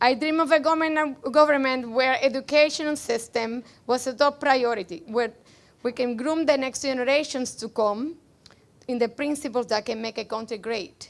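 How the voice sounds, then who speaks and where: A woman speaks at a moderate pace with a slight Cuban accent. Her voice is high, with ordinary pitch variation. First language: Spanish. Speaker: rally speaker, immigrant. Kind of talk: political rally speech, partly read from notes. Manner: loud.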